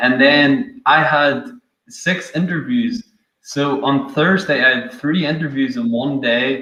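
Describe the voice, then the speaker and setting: Audible room echo surrounds a man speaking at a very slow pace. His fairly high pitch carries lively intonation. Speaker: software developer. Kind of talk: casual chat.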